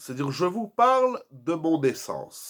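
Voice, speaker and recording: A man speaks with very wide pitch swings. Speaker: rabbi. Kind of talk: Torah lecture. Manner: soft-spoken.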